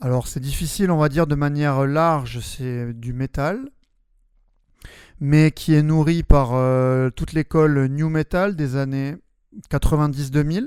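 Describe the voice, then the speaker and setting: The speaker moves at a fairly slow pace with fairly even intonation and long, frequent pauses. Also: man, fairly high pitch for a man. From southwest France, Albi near Toulouse. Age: 30s. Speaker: metal band singer and primary school teacher. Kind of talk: interview. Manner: hesitant, many fillers.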